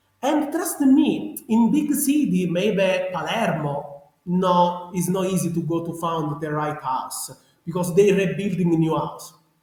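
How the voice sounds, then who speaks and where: A man's high voice in a strong Sicilian accent, fairly slow, with very wide pitch swings. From Sicily, Italy. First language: Italian. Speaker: genealogy researcher. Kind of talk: interview. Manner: animated; halting.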